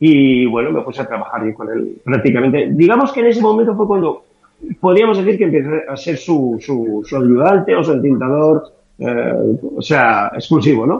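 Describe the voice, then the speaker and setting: A man with a fairly high voice speaks at a moderate pace. His pitch swings very widely. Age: 60s. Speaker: comic artist. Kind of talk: interview.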